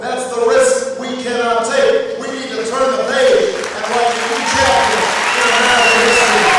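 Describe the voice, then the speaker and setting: A man talks at a fairly slow pace in a flat, monotone delivery, with noticeable background noise behind him. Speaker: politician, presidential candidate. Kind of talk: campaign rally speech.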